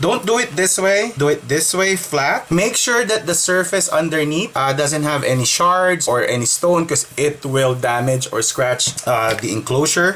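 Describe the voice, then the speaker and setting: The speaker has a Filipino accent and keeps a moderate pace. Background noise is noticeable throughout. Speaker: tech repair youtuber. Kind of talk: tutorial.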